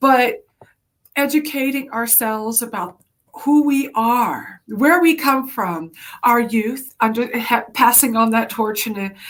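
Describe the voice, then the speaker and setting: A woman speaks at a fairly slow pace in a fairly high voice. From South Carolina Sea Islands (St. Helena Island). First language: Gullah. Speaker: executive director of a heritage organization. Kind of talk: interview.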